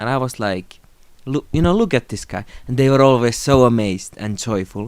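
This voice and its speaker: In a Finnish accent, a man speaks at a moderate pace and medium pitch with ordinary pitch variation, recorded very cleanly against a silent background. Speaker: YouTuber. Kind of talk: unscripted tribute monologue. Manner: unscripted, somewhat halting.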